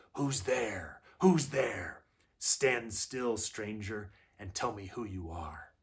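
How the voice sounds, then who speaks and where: Using a put-on character voice, a man growls at a medium pitch and a very slow pace. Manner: threatening, demanding.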